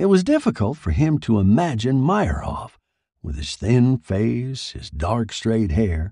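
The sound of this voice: The background is silent around the speaker, who stays quiet in setting. It is an unforced reading voice.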